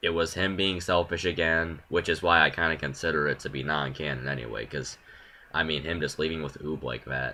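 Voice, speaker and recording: A man with a very deep, low pitch talks with vocal fry. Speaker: YouTuber. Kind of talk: opinion monologue. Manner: halting, many pauses.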